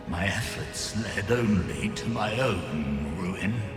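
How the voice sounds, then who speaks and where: A man performs a put-on character voice. Clear background noise and clear echo are present. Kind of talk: archaic theatrical speech. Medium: machinima. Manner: grave, archaic, solemn.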